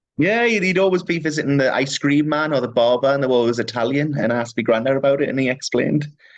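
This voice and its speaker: The speech runs at a very fast pace with hardly any pauses, ordinary pitch variation, and very even loudness. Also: man, fairly high pitch for a man. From northeast England, South Shields. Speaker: comedian. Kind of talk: casual chat. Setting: video call.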